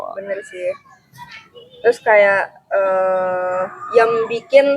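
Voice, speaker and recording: Speaking at a very slow pace, a woman talks with a Pekanbaru accent. Her medium pitch shows ordinary pitch variation. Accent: Sumatran (Pekanbaru). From Sumatra (Pekanbaru). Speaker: university student. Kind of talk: casual chat.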